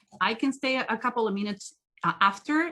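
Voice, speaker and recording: A woman speaks with a strong non-native accent. Her tone is bright and sharp. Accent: strong foreign. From South America. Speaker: body language trainer, profiler. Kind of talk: interactive training webinar.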